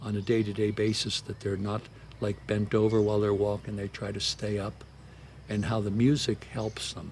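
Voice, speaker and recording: Somewhat breathy, a man with an American accent speaks at a fairly low pitch. His pace is fairly quick. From San Francisco. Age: 80s+. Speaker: army veteran, tango dancer. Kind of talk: interview answer. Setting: outdoors.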